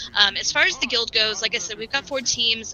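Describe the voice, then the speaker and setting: Noticeable background noise is present. A woman talks with fairly even intonation. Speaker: gaming guild leader. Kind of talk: casual presentation to online community. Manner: fast.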